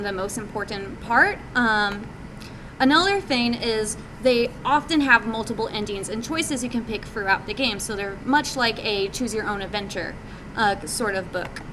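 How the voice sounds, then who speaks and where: At a moderate pace, speech carries over noticeable background noise. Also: woman. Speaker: game developer presenting at a meetup. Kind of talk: presentation talk. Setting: live meetup audience. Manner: many fillers (um, uh).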